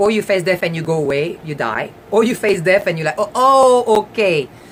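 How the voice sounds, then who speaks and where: With a French accent and lively intonation, the speaker goes at a moderate pace with hardly any pauses over noticeable background noise. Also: woman. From France. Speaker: talk show host. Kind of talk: live stream talk. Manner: halting.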